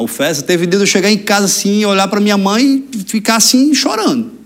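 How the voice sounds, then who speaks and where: A man talks very fast in a high-pitched voice. Noticeable background noise runs underneath. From Brazil, Rio Grande do Norte (Mossoró area). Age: 20s. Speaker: politician, mayor-elect. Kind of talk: interview, casual chat. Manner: articulate public speaker.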